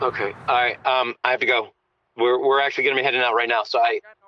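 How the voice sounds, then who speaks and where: A man's put-on character voice, raspy and medium-pitched, very fast, with very even loudness and monotone, flat intonation. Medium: audio drama.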